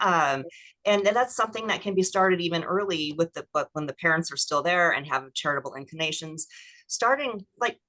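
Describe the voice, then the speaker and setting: A woman with a fairly low pitch is speaking. Her tone is bright and sharp. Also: lively intonation, fairly quick pace. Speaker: estate planning attorney. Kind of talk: webinar presentation and Q&A. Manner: fast.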